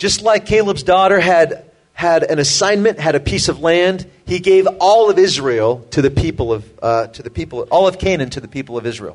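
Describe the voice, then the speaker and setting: A man's high voice carries lively intonation. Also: moderate pace. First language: English (speaking Russian). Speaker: preacher. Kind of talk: sermon.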